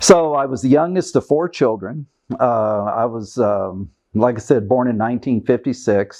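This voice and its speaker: A man's medium-pitched, dark, mellow voice in a Kentucky accent, at a moderate pace with ordinary pitch variation. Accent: Kentucky Southern American. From US South, Kentucky. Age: 60s. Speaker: retired diplomat. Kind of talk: oral history interview.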